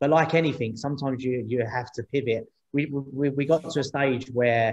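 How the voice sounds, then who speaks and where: A man with a London accent, medium pitch, moderate pace and fairly even intonation. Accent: London accent, noticeable. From East London. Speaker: startup co-founder, former taxi driver. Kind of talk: interview on panel event. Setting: video call. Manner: repetitive, halting.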